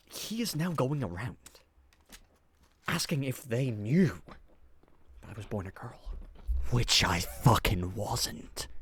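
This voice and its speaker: A man speaks at a very slow pace with vocal fry, very wide pitch swings and big swings in loudness. His pauses are long and frequent. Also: medium pitch for a man. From Scotland. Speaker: gaming youtuber. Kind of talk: casual storytelling over gameplay. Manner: animated.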